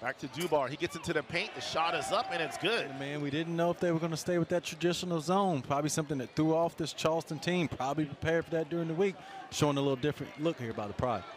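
A man's fairly high voice at a very fast pace, with hardly any pauses, ordinary pitch variation and noticeable background noise. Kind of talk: live sports commentary. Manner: clipped, rhythmic calls that rise on made shots.

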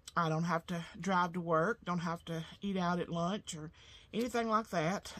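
This woman has an ordinary speaking voice, fairly low in pitch, with ordinary pitch variation at a moderate pace. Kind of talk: casual vlog chat. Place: workshop. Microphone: camera far.

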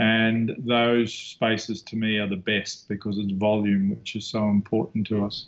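Speaking fairly slowly, a man keeps a fairly low pitch and a monotone, flat intonation. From New Zealand. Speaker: architect. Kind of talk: lecture. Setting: video call. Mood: calm, reflective. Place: office. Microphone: video call.

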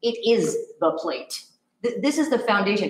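A woman's voice carries audible room echo. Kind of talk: presentation to committee. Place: hall. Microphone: camera far.

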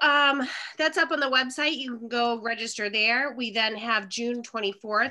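A woman speaks at a fairly high pitch with a bright, sharp tone. The background is quiet. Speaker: event chair. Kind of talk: announcement. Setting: video call. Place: home room. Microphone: webcam.

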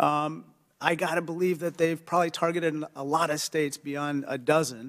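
A man talks at a moderate pace, his intonation fairly even, over a quiet background. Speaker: witness. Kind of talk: hearing questioning. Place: hall. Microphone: podium.

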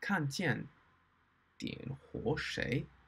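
A man speaks at a very slow pace, somewhat breathy. His intonation is lively. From Australia. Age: 20s. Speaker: Mandarin learner, YouTuber. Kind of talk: reading aloud / book review in learner Mandarin. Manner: slow, halting. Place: home room. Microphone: webcam.

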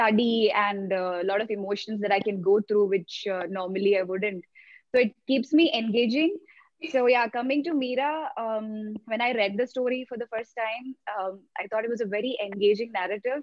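In a dry recording with no echo and a quiet background, a woman talks at a moderate pace with ordinary pitch variation. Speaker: actress guest. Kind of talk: interview answer. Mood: relaxed, laughing at times. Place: home room. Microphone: video call.

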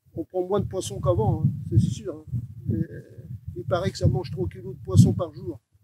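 Over loud background noise, a man speaks with very wide pitch swings, big swings in loudness, and long, frequent pauses, the sound dry with no echo. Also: moderate pace. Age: 70s. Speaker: fisherman. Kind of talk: interview answer. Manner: hesitant, halting. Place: beach.

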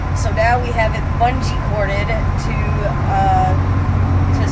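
A woman at a very slow pace amid loud background noise. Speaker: RV traveler vlogger. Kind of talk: casual vlog chat. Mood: exasperated, humorous storytelling. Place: car. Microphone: phone near.

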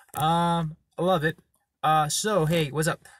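The man's voice sounds somewhat breathy. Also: dry, close sound with no echo. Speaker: dating advice vlogger. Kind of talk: casual vlog talk. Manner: casual, filler-heavy.

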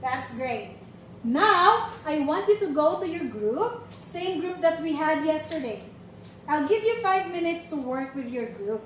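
At a fairly slow pace, a woman talks with an extremely high pitch, with audible room echo and light background noise behind her. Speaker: teacher giving a demo lesson. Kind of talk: classroom lesson. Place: classroom. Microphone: camera far.

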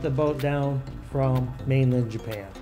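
Music plays in the background under speech at a moderate pace. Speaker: channel host narrator. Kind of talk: documentary narration.

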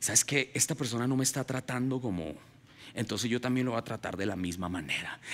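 An animated tone comes from a man whose voice shows ordinary pitch variation. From Colombia (Ubaté, near Bogotá). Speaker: pastor. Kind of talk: sermon. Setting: church with congregation. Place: stage. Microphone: headset.

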